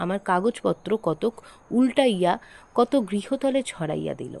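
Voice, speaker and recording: In a plain, everyday voice, a woman talks at a medium pitch, the sound dry and close with no echo. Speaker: audio story narrator. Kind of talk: horror story reading.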